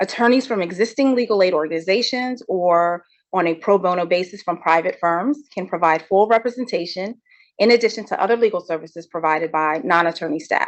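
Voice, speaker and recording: Here a woman talks at a fairly quick pace. Her pitch is medium and varies in an ordinary way. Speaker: legal trainer. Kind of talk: legal training lecture. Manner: fast.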